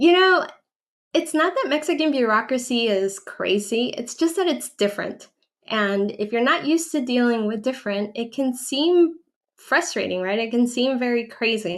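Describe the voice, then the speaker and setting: A woman with a high pitch talks at a moderate pace, her intonation lively. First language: Spanish. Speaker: relocation advisor and channel owner. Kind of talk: livestream Q&A. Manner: conversational with frequent fillers.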